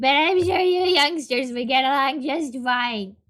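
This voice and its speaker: Putting on a character voice, a female-sounding speaker pitches it high and keeps a moderate speed. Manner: reassuring, sweet.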